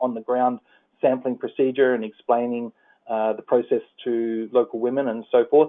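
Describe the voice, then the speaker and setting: A man's fairly quick, monotone, flat delivery at a medium pitch, in an Australian accent. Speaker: environmental policy advisor. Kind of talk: presentation. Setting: phone call. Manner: halting, many fillers.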